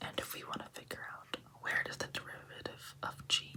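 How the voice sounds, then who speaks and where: Whispering at a moderate pace over noticeable background noise. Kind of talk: ASMR math tutorial whisper. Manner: whispered.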